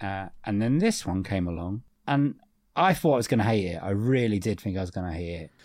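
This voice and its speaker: A man with a British accent and a fairly low pitch, ordinary pitch variation, a fairly quick pace, and a very clean recording over a silent background. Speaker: podcast co-host. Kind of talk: casual chat, film review. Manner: jokey, laughs often.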